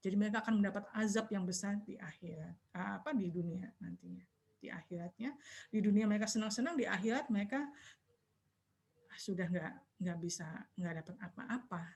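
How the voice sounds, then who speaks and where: A woman's quiet, somewhat breathy voice at medium pitch, fairly quick, with ordinary pitch variation. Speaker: Islamic religious teacher. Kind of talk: online religious study talk. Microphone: too quiet, far from mic.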